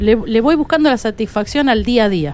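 This woman has a normal speaking voice, pitched fairly high, with lively intonation. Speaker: folk singer. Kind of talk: radio interview.

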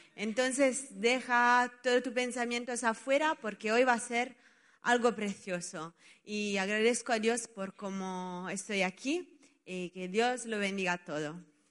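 Using a normal speaking voice, a woman talks fairly slowly at a fairly high pitch with ordinary pitch variation. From Italy. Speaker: children's ministry worker. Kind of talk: testimony.

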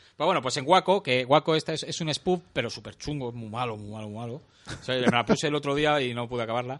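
A man talks at a very fast pace with hardly any pauses, at medium pitch with ordinary pitch variation. His loudness swings widely. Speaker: podcast host. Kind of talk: casual chat.

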